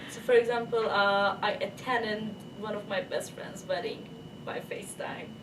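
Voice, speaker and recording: Flat, monotone speech in a Turkish accent moves at a moderate pace, with big swings in loudness. Audible room echo and noticeable background noise surround it. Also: woman, fairly high pitch for a woman. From Turkey. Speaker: international PhD student. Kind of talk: interview. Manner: halting, with fillers.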